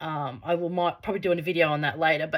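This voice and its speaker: On a very clean recording with a silent background, a woman talks at a fairly quick pace. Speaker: spiritual coach and channel owner. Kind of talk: casual monologue to camera. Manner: fast; animated.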